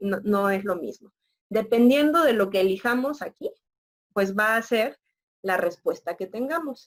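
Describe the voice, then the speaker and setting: A woman with an ordinary speaking voice talks at a fairly slow pace, her fairly high pitch carried by lively intonation. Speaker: university lecturer. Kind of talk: lecture.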